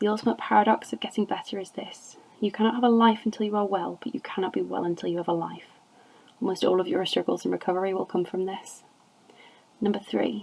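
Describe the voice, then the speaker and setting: Speaking at a very fast pace, a woman uses a medium pitch with ordinary pitch variation. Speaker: amateur reader. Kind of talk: poetry reading. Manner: occasionally stumbles over words.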